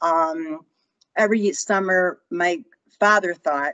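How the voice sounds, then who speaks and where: In a Chicago accent, a woman speaks at a fairly low pitch with ordinary pitch variation. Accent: Chicago American. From Chicago, US Midwest. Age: 60s. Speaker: author. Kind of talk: interview storytelling. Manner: halting.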